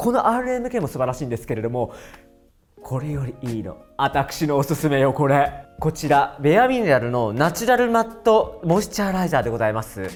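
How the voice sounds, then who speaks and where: The speech moves at a fairly quick pace with music playing in the background. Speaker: hair and makeup artist. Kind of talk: beauty product review talk to camera. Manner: chatty, animated.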